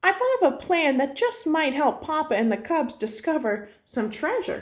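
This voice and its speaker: Putting on a character voice, a woman speaks at a moderate pace in a high pitch with very wide pitch swings. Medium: read story. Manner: sensible, dry.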